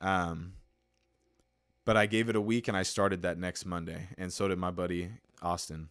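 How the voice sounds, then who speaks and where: In an American accent, a man with a very deep, low pitch talks at a moderate pace with fairly even intonation and long, frequent pauses. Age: 20s. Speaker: podcast host. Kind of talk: motivational monologue. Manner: many fillers (uh, um).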